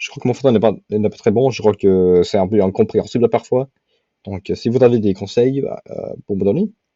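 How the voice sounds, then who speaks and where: This man talks at a moderate pace and medium pitch, his intonation ordinary but his loudness swinging widely. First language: English (speaking French). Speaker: language learner vlogger. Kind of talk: casual commentary while doing language exercises. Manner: halting.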